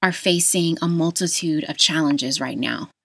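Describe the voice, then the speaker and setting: Recorded very cleanly with a silent background, a woman with an American accent talks at a moderate pace in a fairly low pitch, with ordinary pitch variation and an unremarkable speaking voice. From Las Vegas, Nevada, US. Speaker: podcast host, health educator. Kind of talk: solo podcast monologue.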